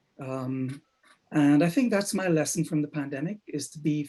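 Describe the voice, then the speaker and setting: A man's fairly high voice with a dark, mellow tone, in a Trinidadian accent, at a moderate pace with ordinary pitch variation. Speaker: copywriter. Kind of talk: roundtable discussion.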